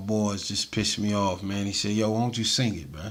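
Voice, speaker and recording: Audible room echo surrounds a man with a fairly low voice. He talks at a very fast pace. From US South (Atlanta). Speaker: hip hop and reggae artist. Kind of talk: casual interview chat. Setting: studio. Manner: animated.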